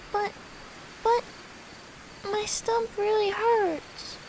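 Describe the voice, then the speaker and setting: Over clear background noise, a female-sounding put-on character voice pitches itself extremely high. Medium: dub. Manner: whiny.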